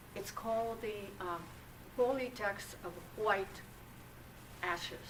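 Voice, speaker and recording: A woman at a very slow pace, fairly even intonation, audible room echo and noticeable background noise. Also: medium pitch for a woman. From Japan. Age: 80s+. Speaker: author and atomic bomb survivor. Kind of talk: lecture. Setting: university lecture hall with audience. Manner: halting.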